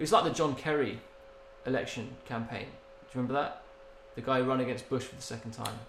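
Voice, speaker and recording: A man with an English accent talks at a very fast pace. There is noticeable background noise. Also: medium pitch for a man, fairly even intonation. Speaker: podcast co-host. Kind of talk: casual banter.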